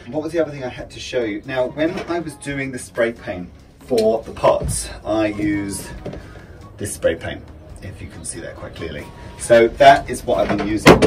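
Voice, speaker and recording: Over music in the background, a man talks at a moderate pace with big swings in loudness. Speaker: vlogger. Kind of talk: casual vlog chat. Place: home room.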